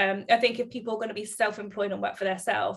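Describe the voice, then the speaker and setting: In a southern England accent, a woman speaks with vocal fry and monotone, flat intonation. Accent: British English, southern England. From Bedfordshire, England. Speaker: salon owner and podcast host. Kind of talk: casual interview chat. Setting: remote call between two countries.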